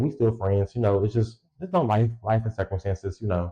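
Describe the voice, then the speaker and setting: This man talks at a very fast pace with a medium pitch and a somewhat breathy voice. The recording is dry and close, without echo. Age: 20s. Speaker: solo podcast host. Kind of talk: casual monologue. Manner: casual, halting with repetitions.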